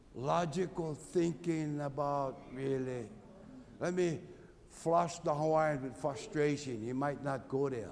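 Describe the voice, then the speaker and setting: Audible room echo frames a man's fairly high voice. He speaks at a very slow pace with ordinary pitch variation. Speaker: Native Hawaiian activist. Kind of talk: testimony. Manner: loud.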